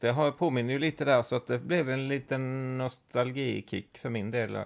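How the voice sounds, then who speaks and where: The recording is very clean, with a silent background. A man with a plain, everyday voice talks at a moderate pace. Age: 50s. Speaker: host's father. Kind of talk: casual chat.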